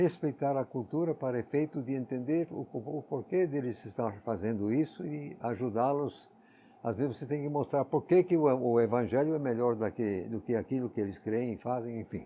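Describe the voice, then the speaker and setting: With an English accent, a man speaks at a moderate pace in a dark, mellow tone. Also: medium pitch for a man, ordinary pitch variation. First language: English (speaking Portuguese). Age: 80s+. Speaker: Bible teacher. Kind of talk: Bible exposition.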